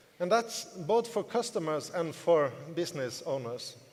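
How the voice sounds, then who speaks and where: This man has a fairly high voice and a non-native accent. His intonation is lively and his pace fairly slow. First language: not English. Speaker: network marketing business leader and seminar speaker. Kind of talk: motivational seminar talk.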